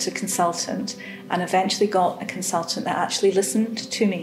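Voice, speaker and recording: With music in the background and audible room echo, a woman speaks in a Scottish accent at a medium pitch with ordinary pitch variation. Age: 60s. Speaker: cancer patient. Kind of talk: testimony. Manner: hesitant, many fillers.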